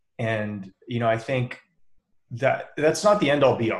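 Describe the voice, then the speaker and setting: A man speaks at a moderate pace and medium pitch. His voice is somewhat breathy, with ordinary pitch variation. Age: 30s. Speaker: podcast co-host, athlete. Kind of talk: casual chat. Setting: live stream.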